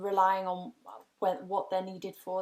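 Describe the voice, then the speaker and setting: A woman's medium-pitched voice comes through in a monotone, flat intonation on a very clean recording with a silent background. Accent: English. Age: 20s. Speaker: graphic designer. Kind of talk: career talk. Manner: hesitant, many ums.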